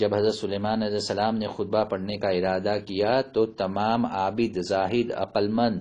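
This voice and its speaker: A man's fairly low voice, monotone and flat in intonation. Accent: Deccani. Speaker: religious preacher. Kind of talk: religious sermon with book reading.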